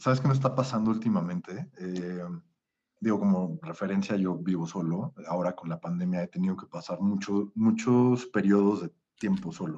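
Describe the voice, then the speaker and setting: A man speaks at a moderate pace and a fairly low pitch. He has a plain, everyday voice. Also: ordinary pitch variation. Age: 30s. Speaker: podcast guest, spiritual course participant. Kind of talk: casual chat.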